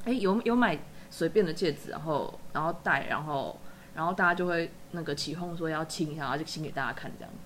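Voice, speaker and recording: Delivered at a fairly quick pace, a plain, everyday voice shows ordinary pitch variation along with big swings in loudness. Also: woman, fairly low pitch for a woman. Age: 30s. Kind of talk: casual chat.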